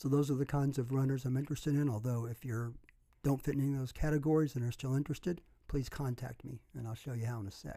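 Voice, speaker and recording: A man talks very fast at a medium pitch, his dark, mellow tone somewhat breathy and his intonation fairly even. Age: 60s. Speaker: running coach. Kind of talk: video monologue. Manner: casual, with fillers.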